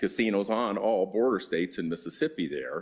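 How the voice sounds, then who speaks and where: On a very clean recording with a silent background, a man speaks with an American accent. His pitch is fairly low, with ordinary pitch variation. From Las Vegas, US. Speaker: real estate developer. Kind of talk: public meeting testimony. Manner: hesitant, many fillers.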